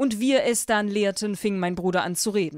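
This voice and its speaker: On a very clean recording with a silent background, a woman speaks at a medium pitch and a moderate pace. Her tone is animated, with ordinary pitch variation. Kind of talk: horror story audiobook narration. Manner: animated, switching between character voices.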